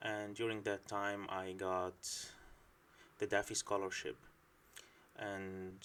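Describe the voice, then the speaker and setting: A fairly slow delivery in an Arabic accent. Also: man. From Syria. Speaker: PhD student. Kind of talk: informational talk. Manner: hesitant with filler words.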